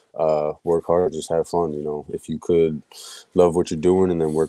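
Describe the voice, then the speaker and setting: A man with a slight Philadelphia accent, very deep, low pitch and dark, mellow tone, in monotone, flat intonation with a dry, close sound and no echo. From Philadelphia, US Northeast. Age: 20s. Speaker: hockey goaltender. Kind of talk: podcast interview. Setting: live-streamed podcast.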